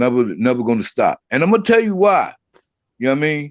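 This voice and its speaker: Very wide pitch swings run through this man's animated, very fast speech. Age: 60s. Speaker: political commentator guest. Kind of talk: heated debate.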